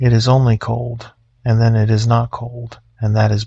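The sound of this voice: This is an unforced reading voice. It carries the words without strain.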